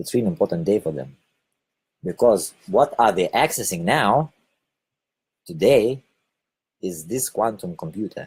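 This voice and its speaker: A man speaks fairly slowly, with long, frequent pauses and very wide pitch swings. The sound is dry and close, with no echo. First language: Lithuanian. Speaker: spiritual video blogger. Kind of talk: casual monologue broadcast. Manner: hesitant, with fillers.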